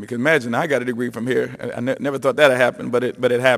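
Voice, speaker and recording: Fairly even intonation from a man at a medium pitch. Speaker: former college basketball player and camp organizer. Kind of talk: ceremony speech. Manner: fast.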